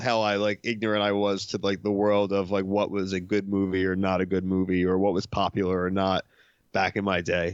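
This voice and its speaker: At a fairly low pitch, a man with a plain, everyday voice speaks at a moderate pace. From Philadelphia, US. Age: 30s. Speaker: podcaster. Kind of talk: casual chat.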